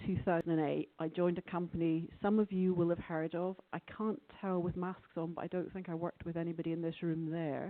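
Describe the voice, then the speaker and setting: Speaking with a Scottish accent, a woman of fairly low pitch talks at a fairly quick pace with hardly any pauses and a monotone, flat intonation. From Scotland. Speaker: conference speaker, open source lawyer. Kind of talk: conference talk. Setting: conference room with audience. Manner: quiet.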